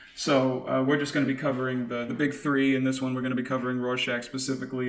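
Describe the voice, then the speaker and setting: Noticeable background noise and audible room echo fill the recording. A man talks at a medium pitch with monotone, flat intonation. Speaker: podcast co-host. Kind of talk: casual chat. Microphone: slight echo from kitchen.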